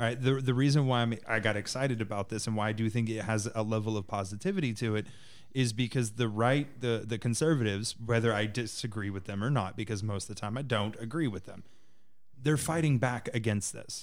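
A man with an ordinary speaking voice talks at a fairly quick pace. His pitch is medium, with ordinary pitch variation. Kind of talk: casual chat.

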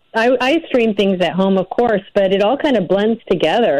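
In an American accent, a woman talks with an ordinary speaking voice at a medium pitch and lively intonation. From Illinois, north of Chicago. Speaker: documentary director. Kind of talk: interview.

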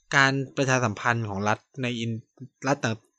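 A man's bright, sharp tone comes through a dry, close sound with no echo against a quiet background. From Thailand. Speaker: podcast host. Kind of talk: solo podcast monologue. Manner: casual, halting with fillers.

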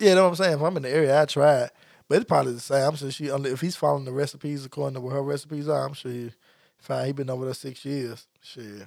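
Speaking very fast in a Memphis accent, the voice sounds animated, with ordinary pitch variation and big swings in loudness, in a very clean recording with a silent background. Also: man, fairly high pitch for a man. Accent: Southern US (Memphis). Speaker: podcast co-host. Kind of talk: casual chat.

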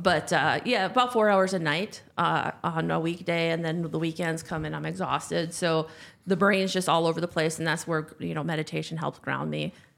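A fairly low-pitched woman's voice with vocal fry and fairly even intonation, running with hardly any pauses. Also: moderate pace. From North Dakota. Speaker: podcast guest, corporate professional. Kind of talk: casual chat.

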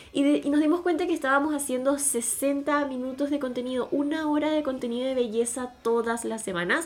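A woman talks at a high pitch and fairly quick pace with hardly any pauses and ordinary pitch variation, over noticeable background noise. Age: 20s. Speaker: podcast co-host, beauty influencer. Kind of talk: casual chat.

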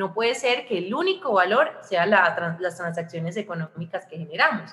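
A woman speaks at a medium pitch and a moderate pace, with lively intonation and an animated tone. Background noise is noticeable. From Colombia, Armenia (Quindío). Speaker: entrepreneur and communicator. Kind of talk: interview.

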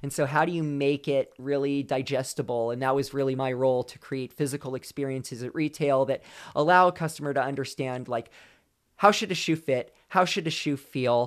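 Over a very clean recording with a silent background, a man with a normal speaking voice and a fairly high pitch talks at a fairly quick pace with fairly even intonation. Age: 40s. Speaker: former pro runner, sports nutrition brand lead. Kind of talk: casual interview. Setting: in-person studio interview. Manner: frequent fillers and repetitions.

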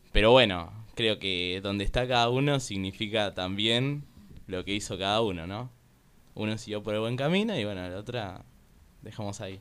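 With a Rioplatense accent, a man speaks at a moderate pace in a fairly low pitch with ordinary pitch variation. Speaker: guest, kinesiology student and content creator. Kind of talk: casual chat.

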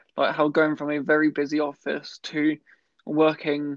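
A man with a fairly high pitch talks at a moderate pace in a monotone, flat intonation. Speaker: podcast host. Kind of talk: casual interview. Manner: stammer.

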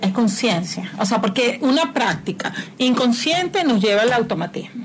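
Amid noticeable background noise and audible room echo, a woman speaks with lively intonation. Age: 40s. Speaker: spiritual mentor. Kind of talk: casual chat.

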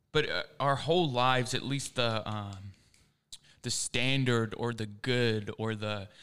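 A man talks at a medium pitch with a Philadelphia accent and ordinary pitch variation. The recording is very clean, with a silent background. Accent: Philadelphia-area American. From US Northeast, suburbs of Philadelphia. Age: 20s. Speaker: young guest from discipleship program. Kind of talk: casual chat. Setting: studio.

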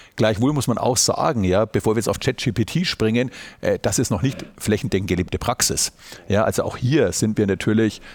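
A man with an unremarkable speaking voice talks at a moderate pace and medium pitch, his intonation lively, in a very clean recording with a silent background. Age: 50s. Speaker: auditor and managing partner. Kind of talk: podcast interview. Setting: university recording on site.

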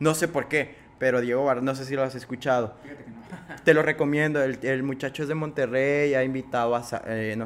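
An ordinary speaking voice belongs to a man who talks at a medium pitch and a moderate pace. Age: 20s. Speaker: podcast host. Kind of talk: interview.

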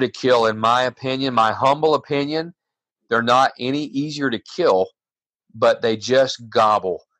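Using an ordinary speaking voice, a man with an American accent talks at a fairly slow pace. His pitch is medium with ordinary pitch variation. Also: dry, close sound with no echo, quiet background. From Florida. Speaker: turkey calling champion. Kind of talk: interview.

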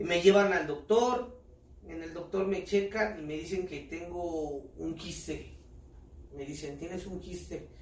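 In a room with audible echo, a man speaks at a high pitch and a fairly slow pace, with ordinary pitch variation and big swings in loudness. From Mexico, State of Mexico (Ecatepec). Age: 30s. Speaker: street performer, amputee footballer. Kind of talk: casual interview.

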